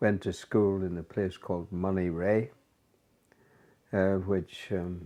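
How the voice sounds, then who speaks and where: Very slowly, a man with a Northern Irish accent speaks in a dark, mellow tone with fairly low pitch. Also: quiet background. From Northern Ireland, County Down. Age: 90s, old. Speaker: interviewee recounting life story. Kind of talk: casual life-story interview. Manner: halting, many fillers.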